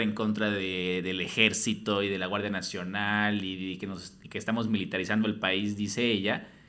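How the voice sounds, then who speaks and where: The man's tone is bright and sharp. His pace is moderate. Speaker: podcast host. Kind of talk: casual interview. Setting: studio.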